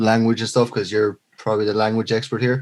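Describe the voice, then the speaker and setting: A man speaks in a Leinster accent in a very clean recording with a silent background. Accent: Irish (Leinster). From Ireland, Leinster. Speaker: podcast co-host. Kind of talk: casual chat.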